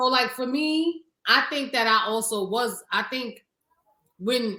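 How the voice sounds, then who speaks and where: A woman talks with a Harlem accent in a bright, sharp tone. Her intonation is lively. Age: 30s. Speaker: podcast co-host. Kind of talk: casual chat.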